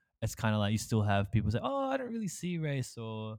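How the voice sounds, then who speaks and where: In a very clean recording with a silent background, a man with an Australian accent talks at a fairly quick pace with very wide pitch swings. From Australia, small country town, Malaysian Chinese parents. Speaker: podcast host. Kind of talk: casual chat.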